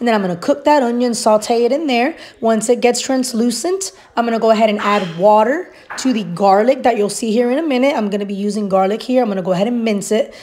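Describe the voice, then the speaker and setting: Someone speaks at a very fast pace with ordinary pitch variation over noticeable background noise. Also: woman, fairly high pitch for a woman. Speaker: home cooking video creator. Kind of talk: cooking tutorial voiceover. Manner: casual.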